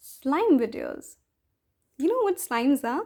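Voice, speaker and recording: A woman's voice with very wide pitch swings. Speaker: ASMR creator. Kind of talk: casual talk to camera, Q&A session. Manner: soft, conversational.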